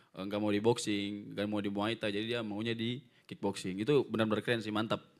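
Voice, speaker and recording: A man with a Papuan accent, fairly low-pitched, very fast, in a monotone, flat intonation. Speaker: kickboxing fighter. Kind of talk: press conference.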